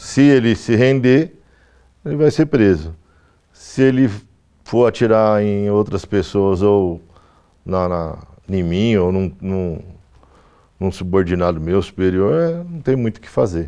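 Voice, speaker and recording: In a quiet background, a man with a dark, mellow tone and fairly low pitch speaks at a very slow pace with long, frequent pauses, lively intonation and big swings in loudness. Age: 40s. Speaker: military police officer. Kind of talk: interview testimony; interview answer. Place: studio.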